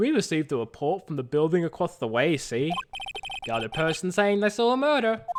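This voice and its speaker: A gruff put-on character voice with very wide pitch swings at a fairly quick pace. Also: man, high pitch for a man. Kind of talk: hard-boiled. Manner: derpy, gruff.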